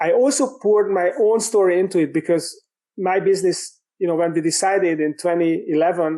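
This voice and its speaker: In a Hungarian accent, a man talks at a moderate pace. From Hungary. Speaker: business coach and author. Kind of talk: podcast interview. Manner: halting, many fillers.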